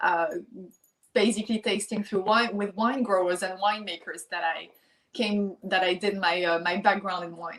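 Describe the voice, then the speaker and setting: At a moderate pace, a woman with a French accent speaks in a medium pitch with fairly even intonation. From France, Lyon. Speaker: champagne brand founder. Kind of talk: interview. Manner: halting.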